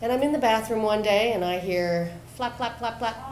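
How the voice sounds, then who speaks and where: A woman talks at a moderate pace with ordinary pitch variation, with audible room echo and light background noise. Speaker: storyteller. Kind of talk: storytelling performance. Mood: humorous, animated. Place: bar.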